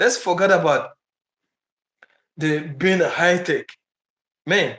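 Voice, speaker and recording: Speaking very slowly, a man talks with a Ghanaian accent. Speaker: travel vlogger. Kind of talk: live stream chat. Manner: halting.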